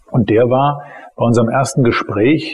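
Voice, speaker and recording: A man at medium pitch and moderate pace, fairly even in intonation, with noticeable background noise. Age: 40s. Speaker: criminal defense lawyer. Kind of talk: interview. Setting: office.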